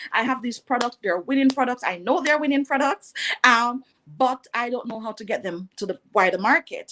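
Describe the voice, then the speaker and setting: A woman speaks at a moderate pace with a high pitch, lively intonation and a bright, sharp tone. The sound is dry and close, with no echo. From Jamaica (rural, Bath, St Thomas). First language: Jamaican Patois. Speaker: entrepreneur. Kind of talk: interview.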